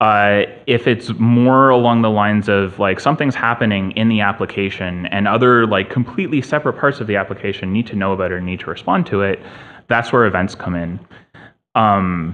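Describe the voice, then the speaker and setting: At a fairly quick pace, a man talks with a fairly low pitch and ordinary pitch variation. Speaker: conference presenter. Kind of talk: technical talk. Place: hall.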